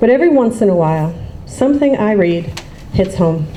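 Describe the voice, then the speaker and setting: A woman with an American accent talks at a fairly quick pace and medium pitch. Noticeable background noise and audible room echo are present. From US, Baltimore, Maryland. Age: 40s. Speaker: writer. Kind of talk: reading aloud.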